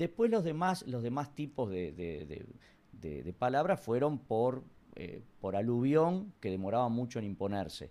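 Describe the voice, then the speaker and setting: At a fairly slow pace, a man with a medium pitch and a dark, mellow tone makes very wide pitch swings. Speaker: comedian and history teacher. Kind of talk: casual interview.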